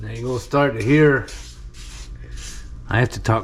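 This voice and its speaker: A man is speaking. He keeps a moderate pace. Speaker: farmer and home cook. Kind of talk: cooking tutorial. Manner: speaking quietly at times.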